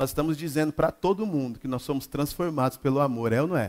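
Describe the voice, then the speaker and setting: Very fast speech from a fairly high-pitched man, with ordinary pitch variation. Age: 40s. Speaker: pastor. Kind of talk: sermon. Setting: church.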